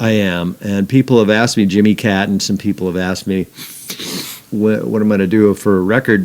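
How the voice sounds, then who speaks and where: A man with an ordinary speaking voice talks at a fairly quick pace, with a fairly low pitch and fairly even intonation. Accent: American. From Northern California. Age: 60s. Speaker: guitarist. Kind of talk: casual chat.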